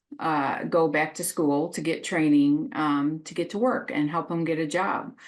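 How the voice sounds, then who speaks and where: A woman with a normal speaking voice talks at a fairly slow pace. Her fairly low pitch moves with lively intonation. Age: 50s. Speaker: social worker. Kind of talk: casual interview chat.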